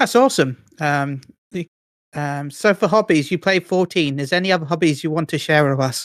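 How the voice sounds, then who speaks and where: Someone speaks at a fairly quick pace with a British accent. The recording is very clean, with a silent background. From Britain. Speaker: podcast co-host. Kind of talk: casual interview.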